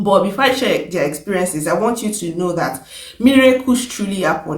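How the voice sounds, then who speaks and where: A woman speaks with a Nigerian accent at a medium pitch. There is audible room echo. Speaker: vlogger, care assistant and pharmacist. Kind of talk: casual vlog advice.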